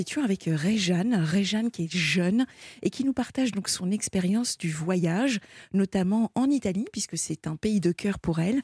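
In a dry, close sound with no echo, a woman speaks fairly slowly with lively intonation and a dark, mellow, somewhat breathy tone. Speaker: late-night call-in radio host. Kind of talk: call-in radio talk. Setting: radio studio.

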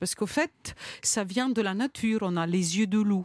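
A woman with an Italian accent talks at a fairly high pitch and a moderate pace, with lively intonation. The recording is very clean, with a silent background and a dry, close sound with no echo. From Italy. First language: Italian (speaking French). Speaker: chef and cookbook author. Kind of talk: radio interview.

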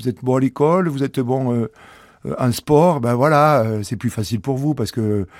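A man talks with a southwestern French accent. His pitch sits in the medium range. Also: dry, close sound with no echo, very clean recording, silent background. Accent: southwest French. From southwest France, rural village. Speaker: former rugby player turned entrepreneur. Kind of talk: testimony. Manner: hesitant, filler-heavy.

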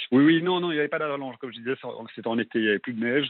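This is a man speaking. His intonation is lively. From Belgium. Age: 20s. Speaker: radio caller. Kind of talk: testimony. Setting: phone call. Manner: halting. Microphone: clear line with slight delay.

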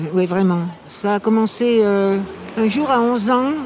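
Noticeable background noise behind a woman's voice of medium pitch. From Paris. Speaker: actress. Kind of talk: casual chat. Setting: outdoors.

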